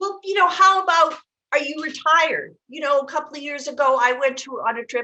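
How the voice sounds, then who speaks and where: A woman's raised, projected voice, high-pitched with a bright, sharp tone, fairly quick, with ordinary pitch variation and big swings in loudness. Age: 60s. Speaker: aging life care manager. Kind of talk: casual chat.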